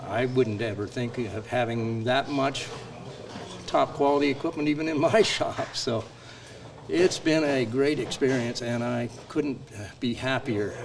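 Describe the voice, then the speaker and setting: Through noticeable background noise, a man talks at a fairly slow pace in a medium pitch with ordinary pitch variation. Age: 70s. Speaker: workshop participant, hobby woodworker. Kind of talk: casual interview.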